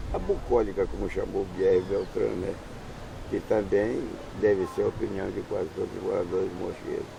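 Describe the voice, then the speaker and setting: Noticeable background noise is present throughout. The speech moves at a moderate pace. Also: man. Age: 70s. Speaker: interviewee, longtime islander. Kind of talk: interview.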